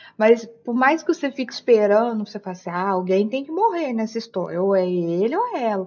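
Over noticeable background noise, a woman with a fairly high pitch speaks at a fairly quick pace with lively intonation and hardly any pauses. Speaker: podcast co-host. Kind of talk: casual chat.

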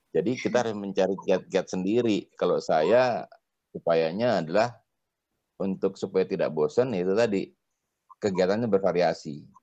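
This man's voice has a dark, mellow tone and a fairly low pitch, with ordinary pitch variation at a moderate pace. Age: 50s. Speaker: university rector. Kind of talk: casual chat. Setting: recorded at home.

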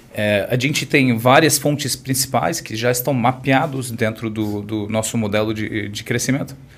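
A man with an American accent speaks at a moderate pace and medium pitch, with fairly even intonation and hardly any pauses, over noticeable background noise. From US, California (Orange County). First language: English (speaking Portuguese). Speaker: wine e-commerce entrepreneur. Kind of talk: interview. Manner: halting.

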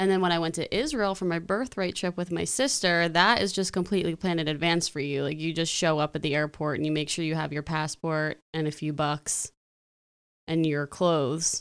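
Recorded very cleanly against a silent background, a woman with a fairly low pitch talks at a fairly quick pace in an unremarkable speaking voice with ordinary pitch variation. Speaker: podcast co-host. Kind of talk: casual chat. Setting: in person with co-host.

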